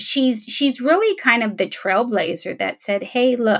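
With an American accent and an unremarkable speaking voice, a woman talks at a moderate pace in a fairly high pitch. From Los Angeles, US. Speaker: trade show and media executive. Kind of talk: casual interview.

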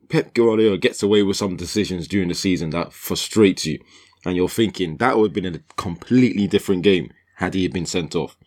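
The recording is very clean, with a silent background. A man speaks in a very deep, low pitch with ordinary pitch variation. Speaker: football podcast co-host. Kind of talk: casual chat. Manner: quiet, far from mic.

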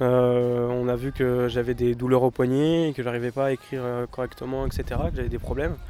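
The speech comes at a fairly quick pace, with noticeable background noise present. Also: man. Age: 20s. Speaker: para-athlete, sprinter. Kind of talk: interview.

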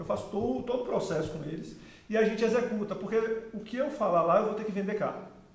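Amid noticeable background noise and audible room echo, a man talks at a very fast pace in a high pitch with ordinary pitch variation. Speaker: sales executive and consultancy founder. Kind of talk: interview.

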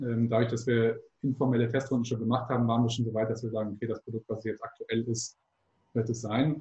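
This man's voice is somewhat breathy and medium in pitch, with a dark, mellow tone and a flat, monotone delivery. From Hamburg, northern Germany. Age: 20s. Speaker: startup founder and doctoral student. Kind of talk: interview. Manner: hesitant with frequent fillers.

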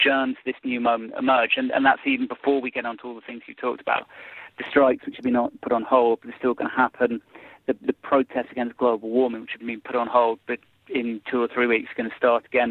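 A man with a British accent talks at a very fast pace, his loudness swinging widely. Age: 40s. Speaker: political commentator. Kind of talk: interview. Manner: halting.

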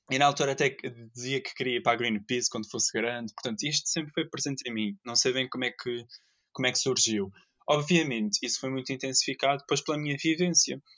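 A man at medium pitch, talking at a very fast pace. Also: ordinary pitch variation. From Azores, Portugal (São Miguel). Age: 20s. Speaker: environmental engineer, zero-waste advocate. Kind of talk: casual interview.

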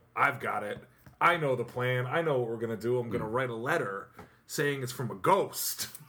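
Medium-pitched male voice with an American accent, fairly quick pace and ordinary pitch variation, over noticeable background noise. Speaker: podcast co-host and musician. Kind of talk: casual chat. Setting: studio.

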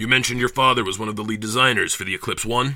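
Putting on a character voice, a man speaks at a very fast pace in a medium pitch. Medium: audio drama. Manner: clipped, formal questioning.

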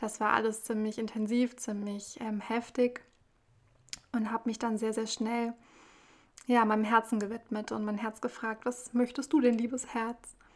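A woman talks at a moderate pace with a fairly high, monotone, flat delivery. She leaves long, frequent pauses. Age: 20s. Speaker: spiritual podcaster. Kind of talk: spiritual monologue.

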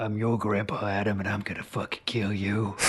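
A man's put-on character voice, fairly low in pitch, monotone and flat, at a fairly quick pace. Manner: menacing.

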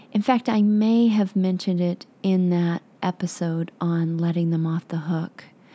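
Speaking at a fairly slow pace, a woman has a dark, mellow tone, a fairly low pitch and fairly even intonation, in a dry, close recording with no echo. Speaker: life coach podcast host. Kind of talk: motivational monologue.

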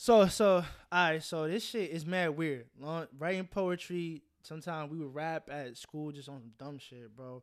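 On a very clean recording with a silent background, a man with a plain, everyday voice speaks at a fairly high pitch, with ordinary pitch variation and hardly any pauses. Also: fairly slow pace, big swings in loudness. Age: 20s. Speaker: rapper, guest artist. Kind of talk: casual chat.

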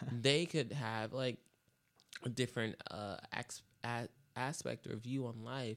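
Here a man talks at a very slow pace. His pitch is medium. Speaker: podcast host. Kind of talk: casual chat. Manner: animated.

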